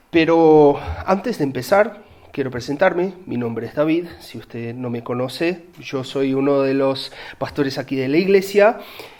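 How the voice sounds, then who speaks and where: With a Uruguayan accent, a man talks at a fairly slow pace in a fairly high voice with lively intonation. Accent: Uruguayan Spanish, noticeable. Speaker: pastor. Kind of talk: sermon. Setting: church.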